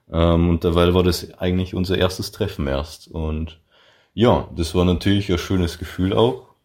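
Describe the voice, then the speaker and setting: A man with a very deep, low voice speaks fairly slowly and with fairly even intonation on a very clean recording with a silent background. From Lower Bavaria, Salzweg near Passau. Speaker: podcast guest, bank clerk and student. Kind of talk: casual interview.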